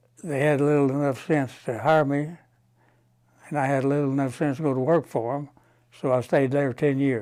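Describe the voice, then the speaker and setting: The speaker has a West Texas accent and a dark, mellow tone with fairly even intonation. The pace is moderate, broken by long, frequent pauses. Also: man, fairly high pitch for a man. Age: 80s+. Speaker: banker. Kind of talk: interview answer.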